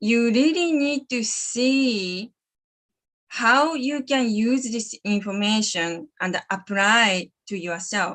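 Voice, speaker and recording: Someone with a Japanese accent speaks at a very slow pace with lively intonation over a quiet background. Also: woman, fairly high pitch for a woman. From Japan, Sapporo, Hokkaido. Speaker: animal communicator. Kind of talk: live stream talk. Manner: halting.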